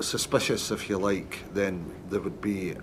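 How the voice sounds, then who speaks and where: A man's fairly low voice with a Scottish accent. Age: 60s. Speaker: retired police detective. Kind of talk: witness testimony. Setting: public inquiry hearing.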